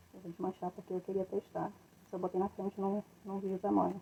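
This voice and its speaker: The speaker is soft-spoken, with a dark, mellow tone and vocal fry, at a very fast pace. The sound is dry and close, with no echo. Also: woman. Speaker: craft entrepreneur. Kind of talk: live stream tutorial. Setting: live stream at home. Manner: casual, rambling.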